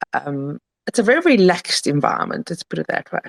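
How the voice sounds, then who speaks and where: A woman speaks in a South African accent. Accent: South African accent picked up. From Italy. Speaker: crypto token founder. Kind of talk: casual interview.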